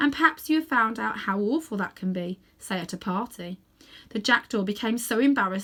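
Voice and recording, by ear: A natural voice reads the text aloud, its intonation lively throughout.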